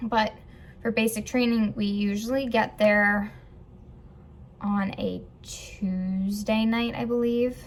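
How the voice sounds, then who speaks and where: A woman's fairly high, somewhat breathy voice, very slow and monotone, with long, frequent pauses. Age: 20s. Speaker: vlogger and Air Force trainee. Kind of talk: casual vlog. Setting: filming at technical school. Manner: casual, hesitant with fillers.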